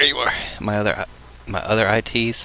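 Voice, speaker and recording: This man's voice sits fairly low. Noticeable background noise runs under it. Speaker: video blogger. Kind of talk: casual vlog. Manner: hesitant, many fillers. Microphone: levels maxing out, maybe too quiet.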